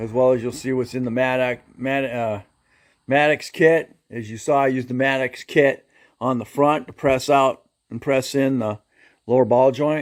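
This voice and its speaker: Fairly even intonation runs through this man's speech. His pitch is medium and his pace moderate. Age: 60s. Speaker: DIY mechanic YouTuber. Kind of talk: casual tutorial. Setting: home garage. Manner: halting.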